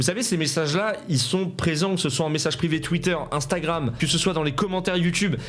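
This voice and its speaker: A high-pitched man speaks at a fairly quick pace with hardly any pauses and very even loudness, amid noticeable background noise and audible room echo. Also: ordinary pitch variation. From France, Seine-et-Marne countryside. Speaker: youtuber. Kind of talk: video commentary.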